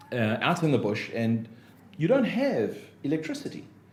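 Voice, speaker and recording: A man with a South African accent sounds somewhat breathy, and room echo can be heard. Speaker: business consultant and motivational speaker. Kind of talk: podcast interview. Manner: hesitant, many fillers.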